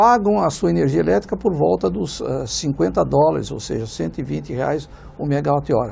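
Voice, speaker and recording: A man talks at a fairly quick pace and medium pitch, his pitch swinging very widely. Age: 60s. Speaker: economics professor. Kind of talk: TV panel debate. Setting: studio. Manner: halting, many fillers.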